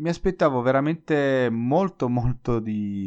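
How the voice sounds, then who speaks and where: Against a quiet background, a man at medium pitch talks at a fairly slow pace with very wide pitch swings. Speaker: Italian language teacher podcaster. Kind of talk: solo educational podcast monologue.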